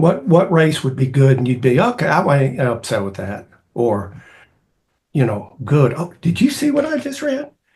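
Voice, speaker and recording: Somewhat breathy and fairly high-pitched, a man speaks at a moderate pace with lively intonation. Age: 60s. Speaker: cross country coach and speaker. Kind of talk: interview. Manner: halting.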